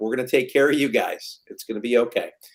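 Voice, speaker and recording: Speech comes at a fairly quick pace. It is delivered in a Wisconsin accent. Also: man. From Wisconsin, United States. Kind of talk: casual, reassuring.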